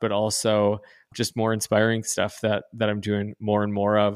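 With an Upper Midwest accent, a man talks at a medium pitch and moderate pace on a very clean recording with a silent background. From North Dakota. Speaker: pastor. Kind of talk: casual chat.

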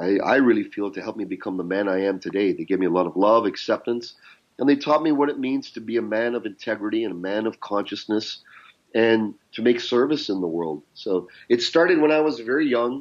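In a normal speaking voice with a Canadian accent, the speaker moves at a fairly quick pace with lively intonation. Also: man, medium pitch for a man. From Canada. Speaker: business mentor and coach. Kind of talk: interview conversation.

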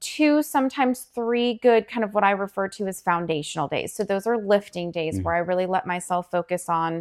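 In a dry, close recording with no echo, a woman with an unremarkable speaking voice talks at a medium pitch with lively intonation. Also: very clean recording, silent background. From Colorado, small town. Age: 40s. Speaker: personal trainer and chef. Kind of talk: casual interview chat.

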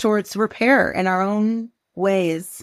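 A woman with a Pacific Northwest accent. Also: dry, close sound with no echo, very clean recording, silent background. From US Pacific Northwest. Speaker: journalist and author. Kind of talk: interview conversation.

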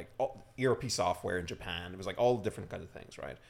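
With a slight Irish accent, a man speaks with ordinary pitch variation. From Ireland. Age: 30s. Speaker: startup founder and CEO. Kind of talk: casual chat. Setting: studio.

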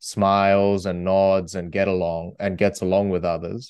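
Against a quiet background, a man speaks with an Australian accent. His voice is fairly low and his pace moderate. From Australia (moved from Korea at eight). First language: Korean. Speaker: debate champion and author. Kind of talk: interview.

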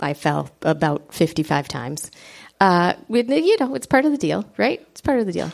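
A woman with a slight Upper Peninsula accent and big swings in loudness, on a very clean recording with a silent background. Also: moderate pace. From Michigan Upper Peninsula. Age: 40s. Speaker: runner, podcast guest. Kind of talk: live podcast conversation. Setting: stage with audience.

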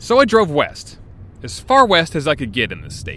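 A man at a moderate pace, his pitch swinging very widely, with noticeable background noise. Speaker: podcast host and journalist. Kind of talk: narrated documentary podcast. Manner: casual, wry.

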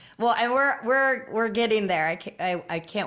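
A woman's ordinary speaking voice at a moderate pace with lively intonation. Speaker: podcast host. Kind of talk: casual interview chat.

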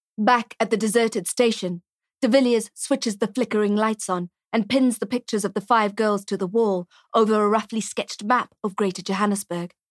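A woman talks at a fairly quick pace in an ordinary speaking voice with fairly even intonation, captured dry and close with no echo on a very clean recording with a silent background. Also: fairly high pitch for a woman. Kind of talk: literary audiobook reading, crime thriller narration.

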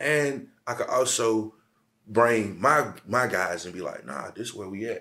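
A man with a South Carolina accent, medium-pitched with ordinary pitch variation, bright and sharp in tone, at a fairly slow pace with big swings in loudness. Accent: Southern US, South Carolina. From US South, Aiken, South Carolina. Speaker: rapper and songwriter. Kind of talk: casual interview chat.

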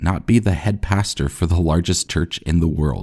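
At a fairly quick pace, a man speaks with a very deep, low pitch and vocal fry. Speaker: podcast host. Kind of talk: eulogy. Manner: solemn, reverent; measured, reflective.

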